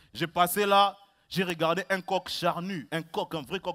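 A man's raised, projected voice, animated and theatrical, with a bright, sharp tone. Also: quiet background. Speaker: stand-up comedian. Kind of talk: stand-up comedy, comic monologue with a read-out mock farewell letter from a rooster. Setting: stage with audience. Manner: animated, theatrical, playing the rooster with comic voices. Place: stage.

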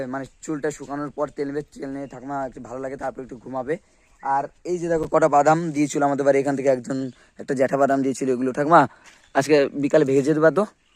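The intonation is monotone and flat. Loudness swings in big ways. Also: man, fairly high pitch for a man. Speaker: vlogger. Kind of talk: casual vlog narration.

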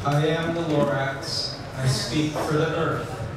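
Over loud background noise, a man talks with audible room echo. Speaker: rabbi. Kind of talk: spoken word poetry performance. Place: cafe.

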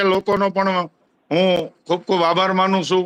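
A man speaks in a raised, projected voice with a high pitch and a bright, sharp tone. His intonation is monotone and flat, and the sound is dry and close with no echo. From Gujarat, Bhavnagar district (Vartej). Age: 40s. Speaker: village head. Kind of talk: interview.

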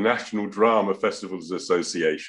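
Speaking at a moderate pace with an English accent, a man is heard against a quiet background. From England. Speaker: interviewer. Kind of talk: interview. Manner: halting. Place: home room. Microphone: video call.

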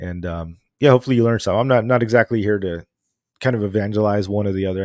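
With fairly even intonation, the speech runs at a very fast pace against a quiet background, in a dry sound with no echo. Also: man. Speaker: podcast host. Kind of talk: casual livestream podcast intro. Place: home room. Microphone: studio mic.

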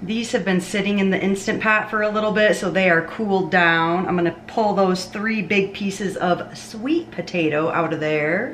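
Speaking at a moderate pace with hardly any pauses, a woman shows ordinary pitch variation against light background noise. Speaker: home cooking vlogger. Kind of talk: casual vlog chat. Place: kitchen. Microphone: camera far.

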